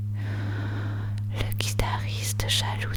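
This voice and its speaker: A soft-spoken whisper comes through over noticeable background noise. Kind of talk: whispered ASMR poetry reading for sleep. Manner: whispered, soft.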